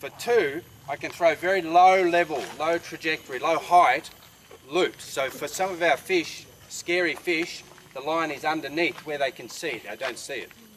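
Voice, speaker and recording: Against noticeable background noise, a man with a high voice talks at a moderate pace, his pitch varying in an ordinary way and his loudness swinging widely. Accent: Australian. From Tasmania, Australia. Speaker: fly casting instructor. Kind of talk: outdoor teaching demonstration.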